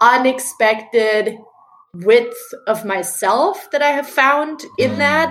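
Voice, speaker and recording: A woman is speaking. Her pitch moves up and down in an ordinary way. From Germany. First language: German. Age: 30s. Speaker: founder of a book review project. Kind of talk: casual interview chat. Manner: animated.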